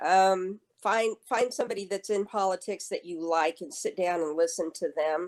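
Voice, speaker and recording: In an American accent, a woman with an ordinary speaking voice talks at a moderate pace and medium pitch, showing ordinary pitch variation on a very clean recording with a silent background. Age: 60s. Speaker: state senator. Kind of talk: interview.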